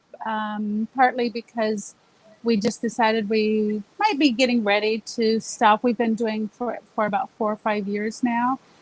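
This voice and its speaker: In an American accent, a woman talks at a fairly slow pace with monotone, flat intonation, recorded dry and close with no echo amid noticeable background noise. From Southern California. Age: 60s. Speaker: diet client sharing success story. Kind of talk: interview.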